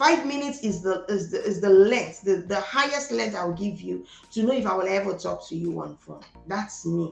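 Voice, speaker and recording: Speaking in a Nigerian accent at a moderate pace, the voice is animated in tone with very wide pitch swings, while music plays in the background. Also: woman, medium pitch for a woman. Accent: Igbo Nigerian. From Nigeria, Delta State (Igbo). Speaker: entrepreneur. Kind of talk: interview.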